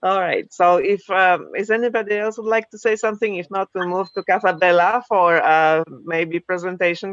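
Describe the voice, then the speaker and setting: A woman with a non-native accent at a medium pitch and moderate pace, with ordinary pitch variation, a dry, close sound with no echo, and a quiet background. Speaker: poet and book publisher. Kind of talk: casual chat and poetry reading.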